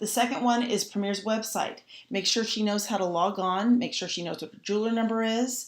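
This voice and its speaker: A woman talking in a mid-range register, her pitch moving in a typical way. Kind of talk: training class. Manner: fast.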